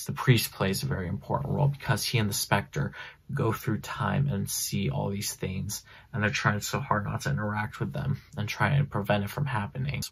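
Quietly, a man with vocal fry speaks at a fairly low pitch that swings very widely. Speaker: comic book reviewer. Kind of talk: casual comic book review talk to camera. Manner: quiet, hushed. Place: home room. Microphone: phone near.

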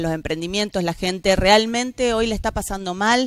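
A woman at a moderate pace, with ordinary pitch variation and a dry sound with no echo over a quiet background. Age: 40s. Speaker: politician, mayoral candidate; politician, candidate. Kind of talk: TV interview. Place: studio.

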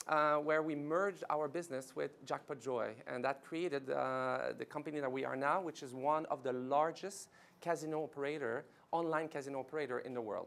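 A man with a French Canadian accent speaks at a moderate pace, his pitch fairly high and his tone fairly bright. His intonation stays fairly even, with vocal fry.

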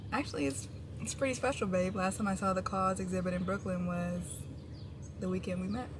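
The speaker talks at a fairly quick pace over noticeable background noise. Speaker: vlogger. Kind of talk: casual vlog chat. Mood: relaxed, cheerful. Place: car.

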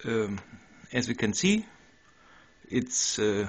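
With a German accent, a man talks in a fairly low pitch. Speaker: 3D printing hobbyist. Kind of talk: casual demo narration. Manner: hesitant, many fillers.

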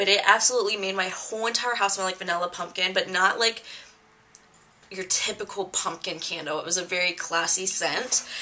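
Noticeable background noise sits behind a woman's voice. She keeps her intonation fairly even. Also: medium pitch for a woman, fairly quick pace. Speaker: beauty vlogger. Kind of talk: casual chat. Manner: casual, filler-heavy.

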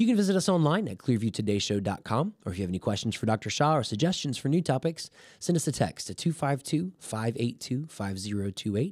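A man talks at a moderate pace and a medium pitch, with very wide pitch swings and hardly any pauses. The sound is dry with no echo, over a quiet background. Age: 30s. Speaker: podcast co-host. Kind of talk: casual chat; podcast host talk. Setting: studio. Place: studio. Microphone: studio mic.

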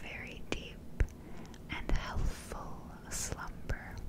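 Over loud background noise, a soft-spoken woman whispers. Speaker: ASMR creator. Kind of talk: guided hypnosis sleep script. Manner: soft close-mic hypnotic whisper. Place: home room.

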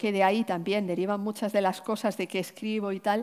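A woman's dark, mellow tone comes at a moderate pace over a quiet background. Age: 50s. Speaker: novelist and poet; poet. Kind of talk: onstage literary conversation. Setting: stage with audience. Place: stage. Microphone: headset.

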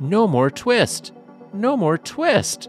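A man's put-on character voice, high in pitch, with clear music in the background. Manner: shouting in chorus.

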